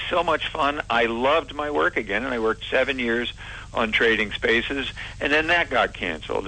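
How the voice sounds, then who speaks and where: Lively intonation and vocal fry at a moderate pace. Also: man. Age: 60s. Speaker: former TV announcer turned handyman. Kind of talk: casual interview chat.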